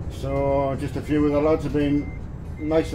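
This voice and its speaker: A man talks while music plays in the background. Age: 50s. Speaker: gamer. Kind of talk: casual live-stream gameplay talk.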